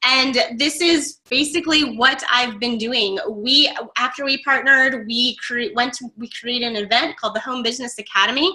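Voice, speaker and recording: A woman with an American accent speaks at a high pitch and a moderate pace, with ordinary pitch variation and hardly any pauses. Noticeable background noise runs behind her. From Florida, Tampa. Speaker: online marketing coach. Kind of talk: webinar training.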